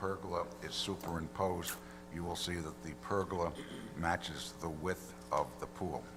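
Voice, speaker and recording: A man speaks quietly at a moderate pace, his very deep, low voice showing ordinary pitch variation. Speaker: attorney for applicant. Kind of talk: formal presentation at public hearing. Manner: too quiet.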